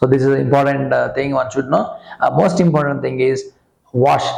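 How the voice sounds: A man speaks at a moderate pace with a medium pitch and a slightly mellow tone. There is vocal fry in his voice and audible echo in the room. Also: fairly even intonation.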